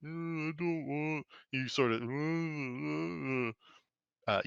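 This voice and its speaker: This man speaks very slowly. He uses a put-on character voice at a fairly high pitch. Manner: dumb, submissive.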